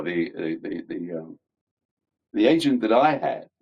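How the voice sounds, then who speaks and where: With a London accent, a man speaks at a fairly slow pace. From London, England. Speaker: actor. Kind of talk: interview answer.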